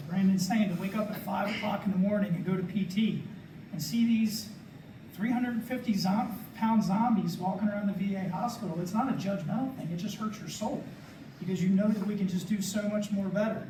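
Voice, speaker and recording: Through audible room echo and noticeable background noise, a man with a high pitch talks at a fairly quick pace with fairly even intonation. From Maryland, Carroll County. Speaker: veteran panelist. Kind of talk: panel discussion.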